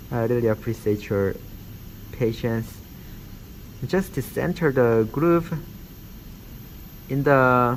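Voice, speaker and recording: A man with a non-native accent speaks at a very slow pace and medium pitch, with ordinary pitch variation and long, frequent pauses. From Korean background. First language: not English. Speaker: dentistry instructor. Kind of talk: tutorial. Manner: halting, many fillers.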